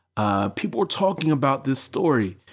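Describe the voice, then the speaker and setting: Moderate speech from a man, recorded very cleanly against total silence. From US. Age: 30s. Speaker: podcast host. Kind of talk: solo podcast monologue. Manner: conversational.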